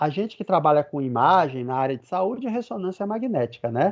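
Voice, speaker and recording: A man speaks with a northeastern Brazilian accent at a moderate pace. His intonation is lively, and the sound is dry and close with no echo. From Brazilian Northeast. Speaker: physics professor. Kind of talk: lecture. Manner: conversational.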